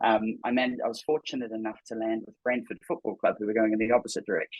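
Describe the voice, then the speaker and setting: In a New Zealand accent, a man talks at a medium pitch and a fairly quick pace. His intonation is monotone and flat. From New Zealand, Auckland. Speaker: tech startup co-founder. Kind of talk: podcast interview. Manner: halting, many fillers and repetitions.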